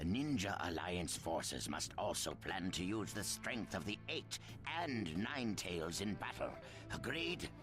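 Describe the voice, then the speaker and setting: Over loud music in the background, a man uses a put-on character voice, very deep and low, at a fairly slow pace with very even loudness. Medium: video game. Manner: wary, deliberate.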